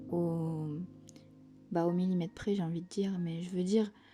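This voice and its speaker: A soft-spoken woman's calm, fairly low voice with fairly even intonation, over background music. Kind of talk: casual talk to camera, art vlog. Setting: home, quiet cozy ASMR-style recording. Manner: soft-spoken, calm.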